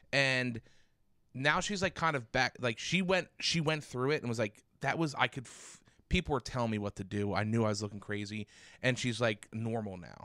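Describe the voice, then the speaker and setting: A man with a medium-pitched voice and a bright, sharp tone is heard in a very clean recording with a silent background and a dry, close sound with no echo. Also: lively intonation, moderate pace, big swings in loudness. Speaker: podcast co-host. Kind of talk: casual chat. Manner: loud.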